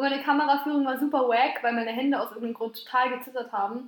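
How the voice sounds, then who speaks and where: A woman's high-pitched voice at a very fast pace. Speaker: podcast co-host. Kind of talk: casual chat. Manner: loud.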